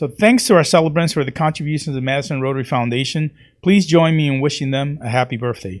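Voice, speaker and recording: In a very clean recording with a silent background, a man talks at a fairly high pitch with lively intonation. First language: not English. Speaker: club president. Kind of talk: meeting announcements.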